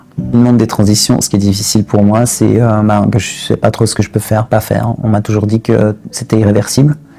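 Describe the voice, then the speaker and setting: Speaking at a fairly quick pace with hardly any pauses, a man with a fairly low pitch keeps a fairly even intonation over music in the background. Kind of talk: testimony. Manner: halting, many hesitations and repetitions.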